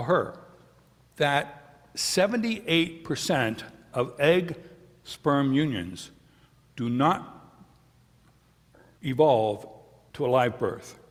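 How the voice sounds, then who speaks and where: Speech comes at a very slow pace with long, frequent pauses and very wide pitch swings. Audible room echo is present. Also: man. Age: 70s. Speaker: pastor. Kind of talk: sermon. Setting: church.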